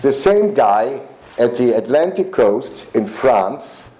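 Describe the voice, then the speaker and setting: Speaking very slowly, a man is heard through audible room echo and noticeable background noise. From Germany. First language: German. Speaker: politician. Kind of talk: political speech. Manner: halting.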